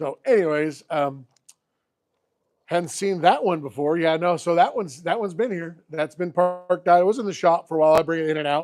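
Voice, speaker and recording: A loud man's voice, high for a man, at a fairly quick pace with ordinary pitch variation. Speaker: classic car YouTuber. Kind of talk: live stream chat. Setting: outdoors.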